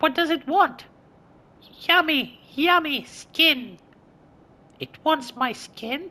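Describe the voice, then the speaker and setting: Using a put-on character voice, a man speaks at an extremely high pitch. His delivery is very slow, with long, frequent pauses. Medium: solo performance. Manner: anxious, flustered.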